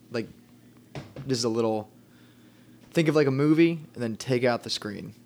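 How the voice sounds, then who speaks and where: The speaker here is male. Nothing unusual marks how his pitch rises and falls. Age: 20s. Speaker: band vocalist. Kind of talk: casual chat. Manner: enunciates carefully.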